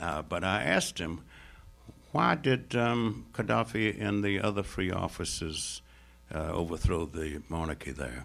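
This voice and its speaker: A man speaks with a very deep, low pitch and vocal fry. His pace is fairly slow, and his pitch swings very widely. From United States. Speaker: Middle East scholar. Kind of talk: lecture. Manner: formal.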